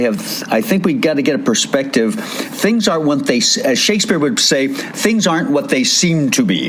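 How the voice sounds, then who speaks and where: A man talks with very wide pitch swings. Noticeable background noise and audible room echo fill the recording. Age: 70s. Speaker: radio host. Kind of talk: casual chat.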